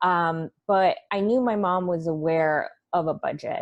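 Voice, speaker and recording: This woman has a plain, everyday voice, fairly low in pitch, with ordinary pitch variation. The sound is dry and close, with no echo. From Russia, moved to US at nine. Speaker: financial coach. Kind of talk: interview.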